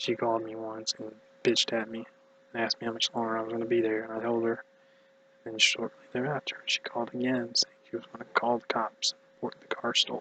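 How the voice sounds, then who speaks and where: Mumbling at a fairly quick pace, a man speaks in a dry, close sound with no echo. Noticeable background noise runs underneath. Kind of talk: casual talk to camera. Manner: mumbled.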